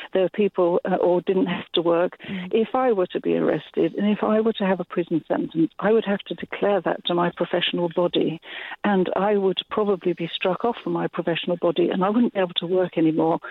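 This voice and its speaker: This is a normal speaking voice from a woman at medium pitch. She talks at a fairly quick pace with ordinary pitch variation. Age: 60s. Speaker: climate protester. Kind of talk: phone-in call. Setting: phone call.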